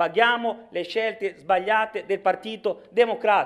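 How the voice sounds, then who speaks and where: An animated, high-pitched male voice with ordinary pitch variation over a quiet background. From Sicily, Palermo; Sicily. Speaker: regional politician. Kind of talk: political speech in assembly. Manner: animated, forceful. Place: hall. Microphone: podium.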